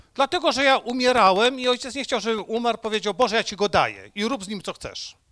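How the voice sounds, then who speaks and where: A man speaks very fast in a raised, projected voice with an extremely high pitch and a bright, sharp tone, hardly pausing. His pitch varies in an ordinary way, and the recording is very clean with a silent background. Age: 60s. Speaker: preacher. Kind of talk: sermon.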